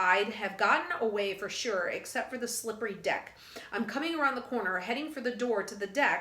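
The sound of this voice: What comes through is an unforced reading voice.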